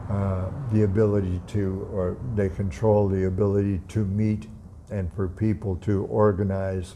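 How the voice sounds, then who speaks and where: Fairly low, dark and mellow tones from a man, in monotone, flat intonation with audible room echo. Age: 80s+. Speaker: atheist YouTuber. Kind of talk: casual vlog monologue. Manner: halting.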